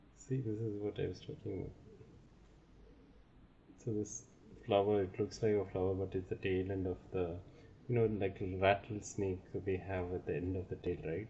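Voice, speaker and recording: A man speaks at a moderate pace with a dark, mellow tone, somewhat breathy and fairly low in pitch. His intonation stays fairly even, broken by long, frequent pauses. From India. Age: 30s. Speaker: tarot reader. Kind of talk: casual talk to camera.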